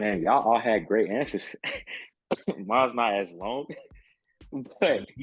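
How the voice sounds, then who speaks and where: Long, frequent pauses break up a man's fairly slow speech, delivered at a medium pitch with ordinary pitch variation. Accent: American. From Mississippi, US South. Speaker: sports broadcaster and producer. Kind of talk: casual chat.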